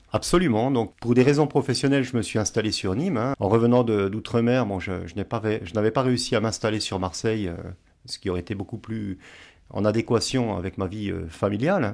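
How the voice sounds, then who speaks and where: A very clean recording against a silent background, with ordinary pitch variation. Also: man, medium pitch for a man. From eastern France, Franche-Comté near Swiss border. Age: 50s. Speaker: novelist, teacher and former soldier. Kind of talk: radio interview. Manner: hesitant, many fillers.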